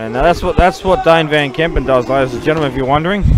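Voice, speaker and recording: A man with an Australian accent talks at a very fast pace in a fairly high voice with ordinary pitch variation. Noticeable background noise is present. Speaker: pool commentator. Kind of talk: live commentary. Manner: loud.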